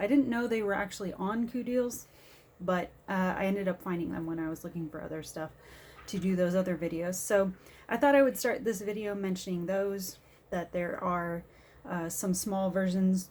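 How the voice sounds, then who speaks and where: Soft-spoken, a woman of medium pitch talks at a moderate pace with ordinary pitch variation. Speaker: diamond painting crafter and vlogger. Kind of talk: casual vlog chat. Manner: quiet, soft-spoken.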